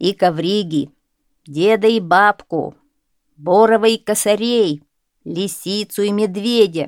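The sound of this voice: The voice is an unforced reading voice over a quiet background. Its pitch shifts with ordinary variation.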